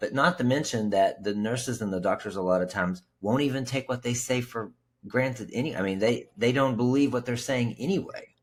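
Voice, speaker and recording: A man with an ordinary speaking voice and an American accent speaks at medium pitch and a fairly quick pace, with ordinary pitch variation and hardly any pauses, on a very clean recording with a silent background. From West Virginia. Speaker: podcast host and sobriety coach. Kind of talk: podcast interview.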